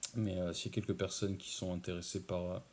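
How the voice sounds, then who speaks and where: In a very clean recording with a silent background, a soft-spoken man talks in a very deep, low voice. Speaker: ASMR creator. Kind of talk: casual talk to camera. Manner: hesitant, many filler sounds.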